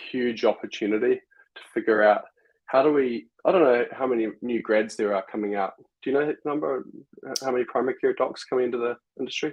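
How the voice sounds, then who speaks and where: A man with a New Zealand accent speaks at a fairly quick pace, his medium-pitched voice showing ordinary pitch variation. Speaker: software company executive. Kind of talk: casual interview chat. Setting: live stream video call.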